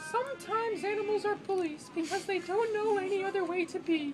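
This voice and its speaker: A man in a put-on character voice speaks at a fairly quick pace with an extremely high, squeaky pitch over loud background music. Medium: read story. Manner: gentle, warm.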